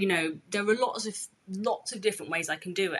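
A woman speaks with a British accent. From England, of East African Gujarati family. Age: 30s. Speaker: chef. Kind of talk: casual chat. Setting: home, by a street.

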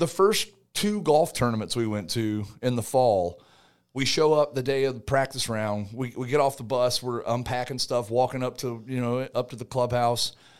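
A man talks in a normal speaking voice at medium pitch with ordinary pitch variation. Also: moderate pace, very clean recording, silent background. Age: 40s. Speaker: retired soldier and college golfer. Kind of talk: casual interview chat.

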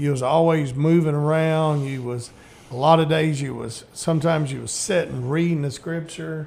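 In a Southern US accent, a man speaks at a moderate pace with a fairly high pitch and fairly even intonation. His loudness swings widely, and noticeable background noise is present. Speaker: radio host. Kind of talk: casual chat. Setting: studio.

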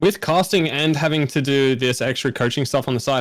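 The recording is very clean, with a silent background. A man with a fairly high voice talks at a very fast pace, with ordinary pitch variation. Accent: Australian. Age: 20s. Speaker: podcast co-host and streamer. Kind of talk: casual chat.

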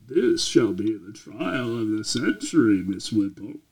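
Using a put-on character voice, a man talks at a moderate pace and medium pitch with big swings in loudness. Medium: actual play. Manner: formal, stiff, proper.

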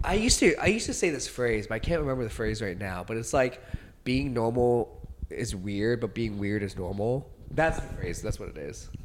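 Loud and fairly quick, a man talks at a medium pitch with lively intonation. Noticeable background noise runs underneath. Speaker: podcast co-host. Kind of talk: casual chat. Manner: fast talker.

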